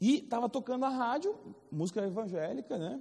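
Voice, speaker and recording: A man with an animated tone and very wide pitch swings. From Rio de Janeiro, Brazil. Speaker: Bible school teacher. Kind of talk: lecture. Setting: classroom with students. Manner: animated, interactive with class.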